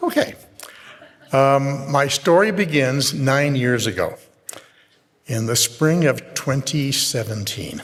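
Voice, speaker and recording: This man's pitch sits fairly high and varies in an ordinary way. He speaks very slowly, with long, frequent pauses. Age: 70s. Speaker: church member. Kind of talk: testimony.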